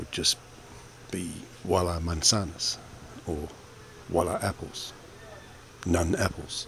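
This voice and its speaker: Over noticeable background noise, a man with an Australian accent speaks in a very deep, low voice with ordinary pitch variation. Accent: Australian, non-American. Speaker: vlogger. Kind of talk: voiceover narration. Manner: fast.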